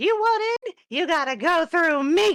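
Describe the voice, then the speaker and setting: A put-on character voice, shrill and extremely high in pitch, at a fairly slow pace. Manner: gruff, blocking the way.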